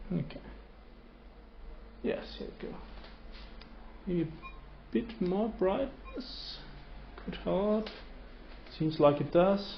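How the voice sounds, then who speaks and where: Speech in a non-native accent comes at a very slow pace, with long, frequent pauses. Audible room echo and noticeable background noise fill the recording. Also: man. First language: not English. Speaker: 3D scanning hobbyist reviewer. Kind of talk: casual tutorial. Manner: halting, many fillers.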